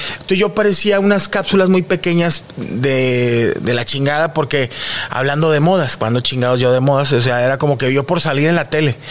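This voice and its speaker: Over noticeable background noise, a man with a fairly high pitch talks at a moderate pace with ordinary pitch variation and very even loudness. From Monterrey, northern Mexico. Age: 30s. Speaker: comedian. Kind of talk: casual chat.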